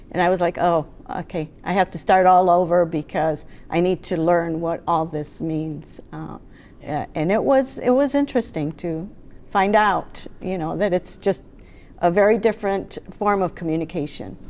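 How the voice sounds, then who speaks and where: With a fairly low pitch and ordinary variation, a woman talks at a moderate pace. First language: not English. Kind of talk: panel discussion.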